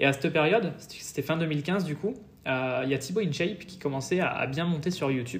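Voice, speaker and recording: With ordinary pitch variation, a man speaks in a normal speaking voice set fairly high. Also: fairly quick pace. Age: 20s. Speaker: fitness youtuber. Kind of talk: interview.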